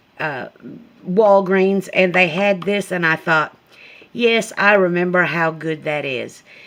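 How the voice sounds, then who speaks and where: Her pitch is fairly low, with ordinary pitch variation. The woman talks at a very slow pace. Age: 60s. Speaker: product reviewer. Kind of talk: casual product review. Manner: halting.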